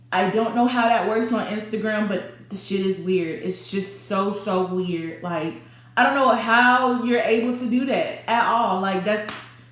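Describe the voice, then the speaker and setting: A woman speaks at a fairly slow pace with a fairly high pitch. Some room echo can be heard. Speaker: YouTuber telling a personal story. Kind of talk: storytime, casual monologue. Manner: animated, voice rising when irritated.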